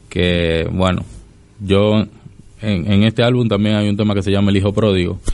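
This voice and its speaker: The intonation here is monotone and flat. It belongs to a man with a fairly low pitch. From Dominican Republic. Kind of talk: radio interview.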